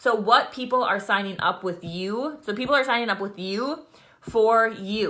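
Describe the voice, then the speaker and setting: The tone is bright and sharp, with ordinary pitch variation at a moderate pace. The recording is very clean, with a silent background. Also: woman, fairly high pitch for a woman. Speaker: fitness business coach leading team training. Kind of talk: live video training for new coaches. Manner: casual, filler-heavy.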